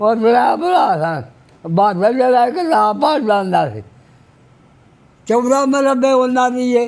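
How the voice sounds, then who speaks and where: A man with an extremely high pitch talks with lively intonation. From Pakistani Punjab. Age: 80s+. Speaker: army veteran. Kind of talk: interview. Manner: halting.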